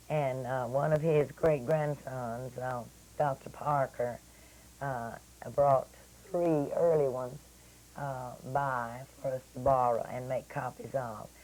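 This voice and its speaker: A woman's very deep, low voice with a dark, mellow tone, a very slow pace, long, frequent pauses and fairly even intonation. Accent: East Texas. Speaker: local historian. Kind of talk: radio interview. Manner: hesitant, many fillers.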